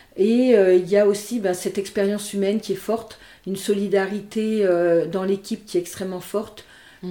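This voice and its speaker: This is a woman with a medium-pitched voice. She talks at a fairly slow pace. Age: 50s. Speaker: nurse and energy healer. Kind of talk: interview conversation. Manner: hesitant, many fillers.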